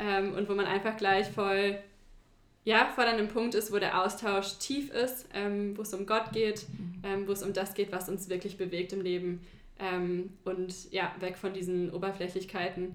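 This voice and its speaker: Her pitch medium and her intonation monotone and flat, a woman speaks at a fairly slow pace. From China (German-American family). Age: 20s. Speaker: teacher. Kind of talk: casual interview.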